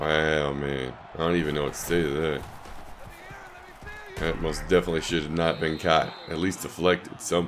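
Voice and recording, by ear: Over faint background music, a man with an extremely low pitch and little pitch movement speaks at a moderate pace, leaving long, frequent pauses.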